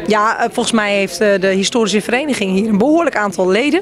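Talking at a very fast pace, a woman with a fairly high pitch and ordinary pitch variation sounds dry with no echo, over noticeable background noise. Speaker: guest at book launch. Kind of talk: interview answer. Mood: friendly, pleased. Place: hall. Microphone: handheld.

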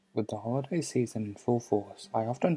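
Fairly quick speech from a man, music playing behind him. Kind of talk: video essay narration.

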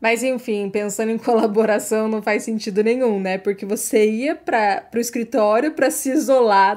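The pace here is moderate. It is an ordinary speaking voice. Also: woman. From Brazil. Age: 30s. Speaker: career mentor and university lecturer. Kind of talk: solo podcast monologue. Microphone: new microphone.

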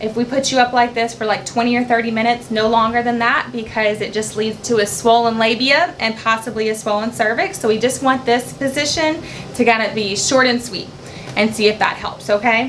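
A woman talking at a fairly quick pace, with light background noise. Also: ordinary pitch variation. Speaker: labor nurse educator. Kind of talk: tutorial. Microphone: camera far.

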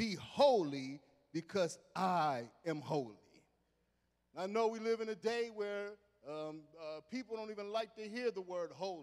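A high-pitched man with a quiet background. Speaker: assistant pastor. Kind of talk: sermon. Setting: church. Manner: animated; halting. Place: church. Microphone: handheld.

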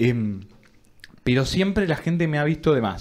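A man talks at a fairly high pitch. His intonation is lively. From Argentina. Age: 20s. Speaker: podcast co-host, university student; podcast co-host. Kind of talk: casual chat. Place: studio. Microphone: studio mic.

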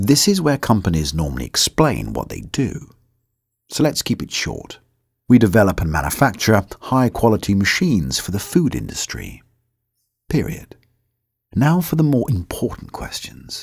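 A British-accented man at medium pitch, with vocal fry, very wide pitch swings, big swings in loudness, a fairly slow pace and long, frequent pauses. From United Kingdom. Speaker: voice actor. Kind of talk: corporate narration.

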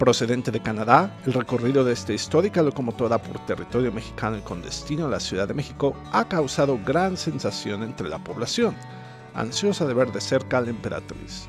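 With music in the background, a man talks at a fairly quick pace. His medium-pitched voice makes very wide pitch swings. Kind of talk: TV news narration.

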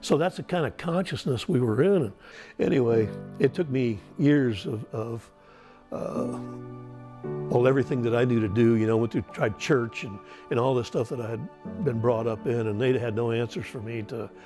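A man at a moderate pace with an American accent, clear music in the background. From United States. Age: 70s. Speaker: Vietnam war veteran. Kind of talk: interview answer. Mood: reflective, recounting trauma. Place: home room. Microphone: lapel.

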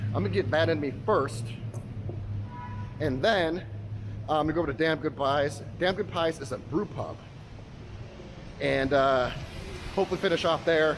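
Music plays in the background as a man talks at a moderate pace, leaving long, frequent pauses. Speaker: food travel vlogger. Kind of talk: casual vlog chat. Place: street. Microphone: phone near.

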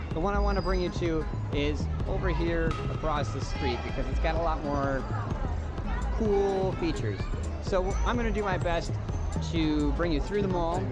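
At a moderate pace with long, frequent pauses, a man speaks while clear music plays in the background. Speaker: travel vlogger. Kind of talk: casual vlog chat. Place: street.

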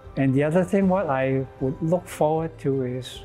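A man speaking at a fairly slow pace, faint music in the background. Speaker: interviewee. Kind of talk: interview answer. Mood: calm, hopeful. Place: church. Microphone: lapel.

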